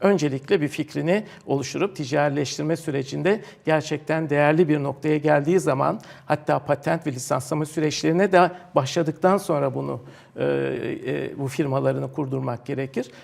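A man's fairly high voice with vocal fry, fairly even intonation and a moderate pace. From Turkey, Istanbul. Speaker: professor and technology park director. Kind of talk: TV interview. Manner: hesitant, many fillers.

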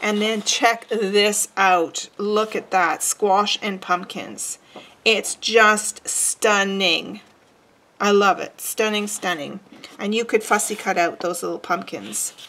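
A woman speaks at a very slow pace. Her tone is bright and sharp, her intonation fairly even. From Quebec, Montreal. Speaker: craft tutorial host; papercraft demonstrator. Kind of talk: tutorial. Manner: casual, chatty with fillers.

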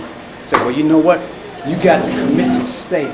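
A man talks at a moderate speed while noticeable noise sounds behind him. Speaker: audience member. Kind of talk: audience comment. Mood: earnest, persuasive. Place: hall. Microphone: handheld.

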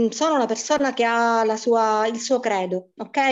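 This woman's voice sits high in pitch, with ordinary pitch variation. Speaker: primary school teacher. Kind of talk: testimony.

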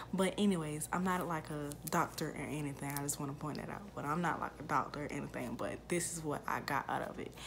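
A quiet woman's voice, very deep and low, at a very fast pace with hardly any pauses, over noticeable background noise. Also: ordinary pitch variation. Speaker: YouTuber, mother; YouTuber. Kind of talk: casual Q&A vlog. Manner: quiet, subdued speaking; hesitant, many fillers. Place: home room. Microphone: phone near.

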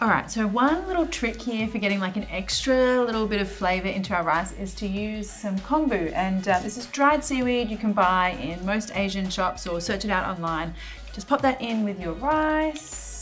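Over clear background music, a woman talks at a moderate pace with hardly any pauses. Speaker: cooking show host. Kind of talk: tutorial. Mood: playful, cheerful.

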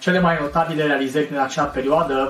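Faint music plays in the background, and there is audible room echo. A man talks with monotone, flat intonation at a fairly high pitch. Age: 40s. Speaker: actor; actor presenting his career. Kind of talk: self-presentation showreel. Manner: formal. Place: home room.

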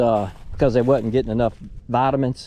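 The man's voice sits at medium pitch and has a dark, mellow tone.

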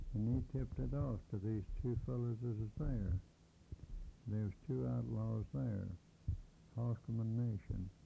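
A man speaks at a fairly low pitch with a dark, mellow tone that is somewhat breathy. His loudness stays very even, broken by long, frequent pauses. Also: lively intonation, fairly slow pace. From Kansas and Oklahoma. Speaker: early day cowboy. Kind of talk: oral history interview. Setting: at home.

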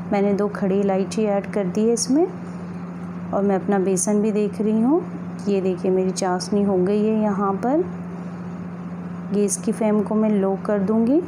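There is noticeable background noise as a woman speaks with very even loudness and fairly even intonation. She leaves long, frequent pauses. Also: fairly slow pace. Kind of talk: tutorial. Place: kitchen.

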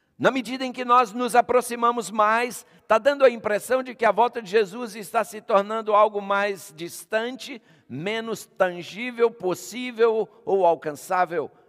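This man has a high-pitched voice and speaks at a fairly slow pace. The background is quiet. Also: ordinary pitch variation, big swings in loudness. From Brazil. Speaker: pastor. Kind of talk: sermon. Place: church.

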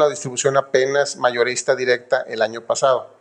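A man's fairly high voice at a moderate pace, with fairly even intonation, against a quiet background. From northern Mexico, Guaymas, Sonora. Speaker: company founder. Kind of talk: interview. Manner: halting, repeats words.

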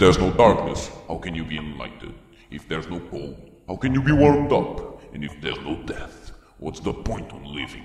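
In a cartoonish character voice, a man speaks fairly quickly with a very deep, low pitch and a calm, solemn tone, and a clear echo surrounds him. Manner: calm, solemn, persuasive.

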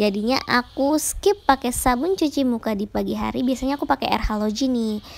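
Light noise in the background beneath ordinary pitch variation. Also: woman. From Indonesia. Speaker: beauty vlogger. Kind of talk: tutorial. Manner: casual, chatty. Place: home room. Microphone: phone near.

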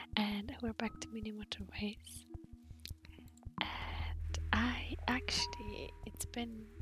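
A soft-spoken woman talks at a very slow pace over clear background music, and the sound is dry with no echo. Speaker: ASMR gaming creator. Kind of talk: gaming ASMR ramble. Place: home room. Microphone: studio mic.

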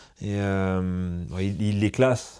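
A man with a dark, mellow tone and fairly low pitch is heard in a very clean recording with a silent background. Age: 40s. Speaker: dog trainer and podcast host. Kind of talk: podcast interview. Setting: association offices in a city. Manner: hesitant, many fillers.

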